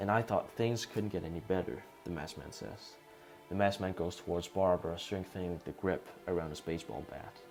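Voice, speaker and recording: Music plays in the background as a man speaks at a fairly quick pace. His voice is very deep and low, with ordinary pitch variation. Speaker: fan movie pitch writer and narrator. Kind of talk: read story narration with dialogue.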